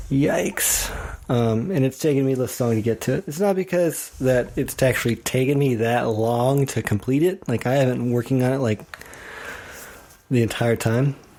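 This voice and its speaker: A man speaks at a moderate pace in an American accent, with a plain, everyday voice. His pitch is medium, with ordinary pitch variation. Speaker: woodworker guest-hosting a podcast. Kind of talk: casual monologue. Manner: casual, with many fillers.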